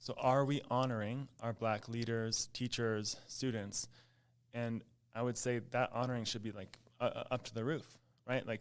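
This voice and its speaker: A man in a General American accent at medium pitch, monotone and flat, on a very clean recording with a silent background. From Colorado, Boulder area. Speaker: school principal. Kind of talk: interview conversation. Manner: halting, frequent repetitions.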